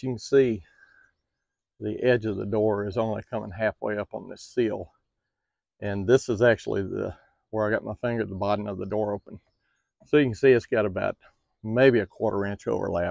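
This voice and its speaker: A man with a fairly low pitch and ordinary pitch variation speaks with big swings in loudness and long, frequent pauses. The sound is dry with no echo, over a quiet background. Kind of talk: tutorial. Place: open country. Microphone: phone near.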